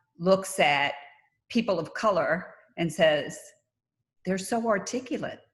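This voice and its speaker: With lively intonation, a woman at medium pitch talks in a somewhat breathy voice. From US, New York / Miami. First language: not English. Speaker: nurse anesthetist. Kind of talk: panel discussion.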